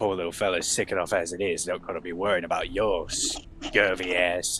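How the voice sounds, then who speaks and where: Over clear background noise, a put-on character voice moves at a moderate pace. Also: man, very deep, low pitch for a man. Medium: actual play. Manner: inquisitive, blunt.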